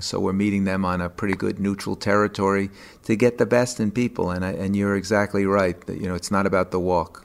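Here a man talks at a fairly quick pace with a fairly low pitch. He has a plain, everyday voice. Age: 60s. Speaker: chiropractor and charity runner. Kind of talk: interview.

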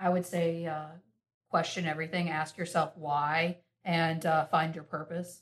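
Speaking with an American accent, a woman uses a fairly low pitch and monotone, flat intonation at a fairly slow pace. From US South, North Carolina. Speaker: entrepreneur. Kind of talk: casual chat.

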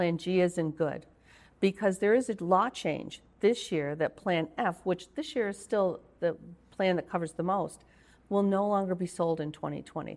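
With an American accent, a woman uses an ordinary speaking voice at a moderate pace, medium pitch and ordinary pitch variation, against a quiet background. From Rochester, New York. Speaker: healthcare consultant and nurse. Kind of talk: interview.

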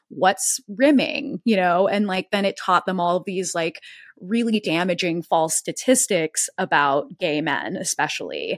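In a very clean recording with a silent background and a dry, close sound with no echo, a woman at medium pitch talks fairly slowly with lively intonation. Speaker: podcast host and folklorist. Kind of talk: interview conversation.

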